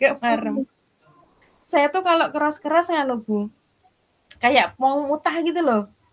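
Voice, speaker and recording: A high-pitched woman with long, frequent pauses. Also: ordinary pitch variation, fairly slow pace. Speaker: teacher in coaching training. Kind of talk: casual chat. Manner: soft-spoken. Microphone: too quiet.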